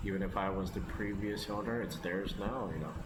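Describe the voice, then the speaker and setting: A man's very deep, low voice with an American accent, amid noticeable background noise and audible room echo. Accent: Americanized. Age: 30s. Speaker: mobile game streamer. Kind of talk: casual gameplay commentary. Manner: fast; rambling, hesitant with fillers.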